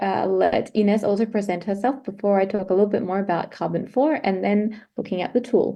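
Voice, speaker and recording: Here a woman speaks in an Australian accent at a medium pitch. Her tone is dark and mellow, and her intonation fairly even. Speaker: climate consultant. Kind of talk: presentation.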